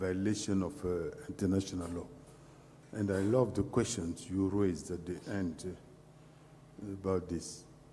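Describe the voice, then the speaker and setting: Speaking with a French accent at a fairly slow pace, a man's fairly low voice carries audible room echo. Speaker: panelist. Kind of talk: panel discussion. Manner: halting, many fillers.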